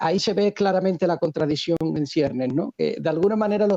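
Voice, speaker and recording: A man with an Andalusian accent, high-pitched, fairly quick, with lively intonation. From Seville, Andalusia, Spain. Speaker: economist, video creator. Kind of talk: interview.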